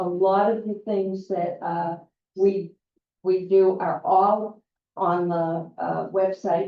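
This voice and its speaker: Speaking at a very slow pace, a woman keeps a medium pitch. Her intonation is monotone and flat. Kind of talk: public forum Q&A talk. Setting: community meeting with audience. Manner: loud.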